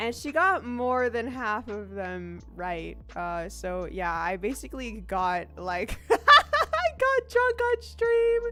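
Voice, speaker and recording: A woman talks at a very slow pace with hardly any pauses while music plays in the background. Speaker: VTuber streamer. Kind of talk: casual chat. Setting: livestream. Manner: animated.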